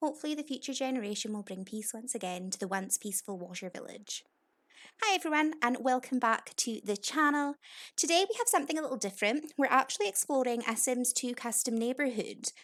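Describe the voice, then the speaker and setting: A woman with a Scottish accent, high-pitched, with lively intonation and a very fast pace, on a very clean recording with a silent background. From Scotland. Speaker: gaming YouTuber. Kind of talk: casual game walkthrough commentary.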